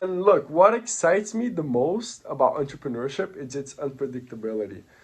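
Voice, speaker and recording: A man speaks with a Portuguese accent at a fairly high pitch. His pace is moderate and his intonation lively. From Brazil. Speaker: entrepreneur. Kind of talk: personal story pitch.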